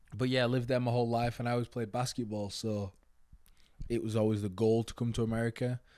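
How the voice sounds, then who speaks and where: A man racing at a very fast pace in an English accent, medium-pitched with a dark, mellow tone and monotone, flat intonation. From northern England, near Manchester and Leeds. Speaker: college basketball player and entrepreneur. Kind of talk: casual interview chat.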